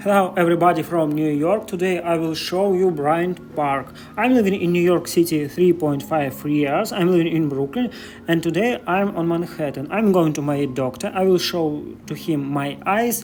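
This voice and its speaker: With noticeable background noise behind him, a man with a Russian accent speaks at a high pitch. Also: ordinary pitch variation, moderate pace. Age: 30s. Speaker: vlogger. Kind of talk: walking vlog. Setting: outdoors. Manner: halting non-native English.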